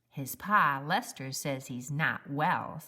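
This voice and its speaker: Putting on a character voice, a woman speaks at a very deep, low pitch. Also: fairly slow pace. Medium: read story. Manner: gossipy, conspiratorial.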